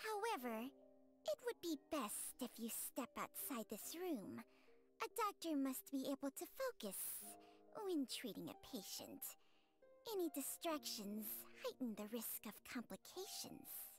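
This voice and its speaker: Clear music plays in the background as a put-on character voice speaks at a fairly slow pace in a calm tone. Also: woman, high pitch for a woman. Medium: video game. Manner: calm, measured.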